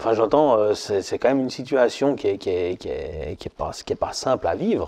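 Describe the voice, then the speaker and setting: Hardly pausing at all, a man speaks at a moderate pace. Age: 50s. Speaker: marketing consultant. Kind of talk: casual chat. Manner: halting, many repetitions. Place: home room.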